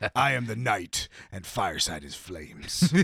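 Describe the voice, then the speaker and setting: The lines come at a moderate pace in a put-on character voice. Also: man, medium pitch for a man. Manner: grim, dramatic.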